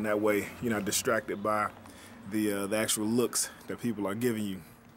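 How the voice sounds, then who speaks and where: A fairly low male voice in a flat monotone at a fairly quick pace. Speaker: DJ. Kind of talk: casual talk to camera. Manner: casual, halting.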